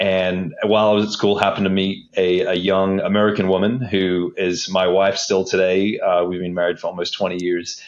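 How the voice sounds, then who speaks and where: Speaking at a moderate pace with hardly any pauses, a man with a very deep, low pitch holds a flat monotone. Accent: slight Australian. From Australia. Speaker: civil engineer, stormwater infrastructure manager. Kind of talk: podcast interview.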